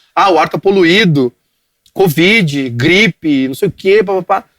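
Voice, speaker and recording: The recording is dry and close, with no echo. A man speaks at a fairly slow pace. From southern Brazil, Rio Grande do Sul (Cachoeirinha). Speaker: digital media entrepreneur. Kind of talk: podcast interview. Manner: halting, repetitive.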